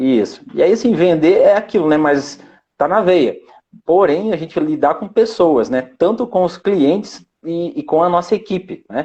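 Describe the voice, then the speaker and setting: At a fairly slow pace, a man talks with a high pitch and lively intonation. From Paraná, southern Brazil. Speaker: sales team manager and sales trainer. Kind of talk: live-stream interview.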